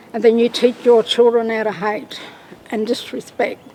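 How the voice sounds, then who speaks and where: Noticeable background noise accompanies a woman whose high-pitched voice stays monotone and flat. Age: old. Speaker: Stolen Generation survivor. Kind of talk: testimony.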